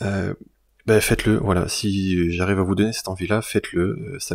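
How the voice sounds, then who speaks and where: A man with a very deep, low voice talks fairly quickly, keeping a fairly even intonation. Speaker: YouTuber and illustrator. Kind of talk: channel announcement to viewers. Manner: halting, many fillers and repetitions; casual.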